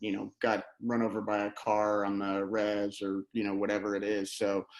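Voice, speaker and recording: A man's fairly low voice with an American accent, monotone and flat in intonation. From New England, central Massachusetts. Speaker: war veteran and emergency doctor. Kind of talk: interview. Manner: halting, many fillers; casual.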